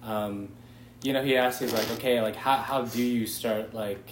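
A man with an American accent at a moderate pace, fairly even in intonation, with audible room echo and noticeable background noise. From Southern California, San Clemente. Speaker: college student. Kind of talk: casual chat.

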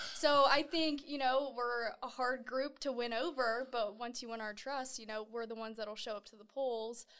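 Her high-pitched voice keeps a fairly even intonation while its loudness swings widely, marking a woman speaking. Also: moderate pace, hardly any pauses. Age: 20s. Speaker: TV news reporter. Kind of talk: interview.

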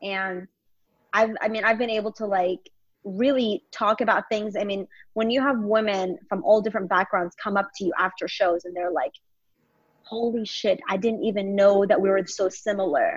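A woman speaks at a moderate pace in an ordinary speaking voice, her medium pitch showing ordinary variation. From Longview, Texas. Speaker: stand-up comedian. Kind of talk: casual interview chat. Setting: video call.

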